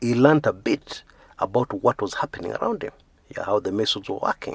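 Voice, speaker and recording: Vocal fry runs through this man's speech. No echo is present, and the sound is dry and close. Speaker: YouTube storyteller, former magazine editor. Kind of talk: biographical storytelling. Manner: casual, frequent filler 'yeah'.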